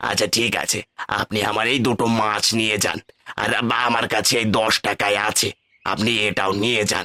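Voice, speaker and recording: A man puts on a cartoonish character voice, pitched fairly low and delivered at a moderate pace. His intonation stays monotone and flat. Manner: earnest, polite.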